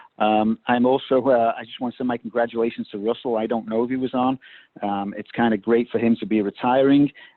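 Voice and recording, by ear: Speaking at a fairly quick pace, a man with a medium-pitched voice keeps his intonation fairly even, and the sound is dry and close with no echo.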